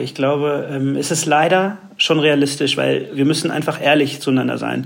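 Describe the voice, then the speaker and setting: Through noticeable background noise and audible room echo, a man speaks with hardly any pauses, at a fairly high pitch, in a monotone, flat intonation. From Germany. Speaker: advertising agency executive. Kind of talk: interview.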